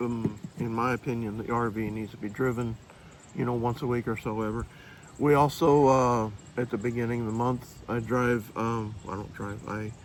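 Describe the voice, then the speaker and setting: Here a man talks at medium pitch. His intonation is monotone and flat. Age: 60s. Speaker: full-time RVer vlogger. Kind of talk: casual chat.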